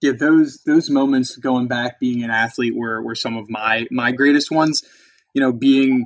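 A man's normal speaking voice at medium pitch, fairly even in intonation, dry and close with no echo. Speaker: podcast host. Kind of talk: casual interview.

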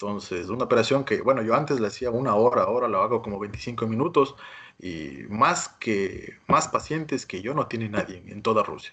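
A man at medium pitch with a bright, sharp tone, lively intonation and a moderate pace. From Ecuador, Quito. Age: young. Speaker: plastic surgeon. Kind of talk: interview. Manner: halting.

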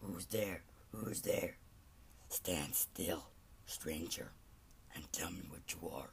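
In a put-on character voice, the speaker growls in a raspy, very deep, low pitch at a very slow pace, with long, frequent pauses and clear background noise. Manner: menacing, demanding.

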